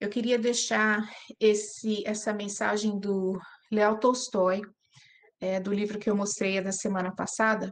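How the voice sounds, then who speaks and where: Speaking at a fairly slow pace in a non-native accent, a woman with a medium-pitched voice keeps a monotone, flat intonation amid audible room echo. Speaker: spiritist study group speaker. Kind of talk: lecture. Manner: halting.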